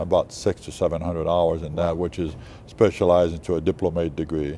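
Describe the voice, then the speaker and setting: A male voice comes through here. It sits very deep and low. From Canada. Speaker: chiropractor. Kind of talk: TV interview. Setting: TV studio. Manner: halting, many fillers.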